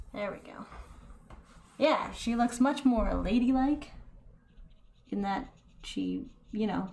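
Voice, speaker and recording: A soft-spoken woman with a high pitch, ordinary pitch variation, big swings in loudness, long and frequent pauses, a very slow pace and audible room echo. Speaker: painting tutorial youtuber. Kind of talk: painting tutorial.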